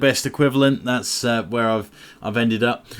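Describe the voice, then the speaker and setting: Medium pitch from a man with an English accent. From England. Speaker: gaming YouTuber. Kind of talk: gameplay commentary. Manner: casual, many fillers.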